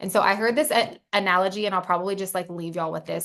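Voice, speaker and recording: Over a quiet background, a woman with vocal fry and a fairly low pitch speaks at a very fast pace with fairly even intonation. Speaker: network marketing team leader. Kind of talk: motivational talk.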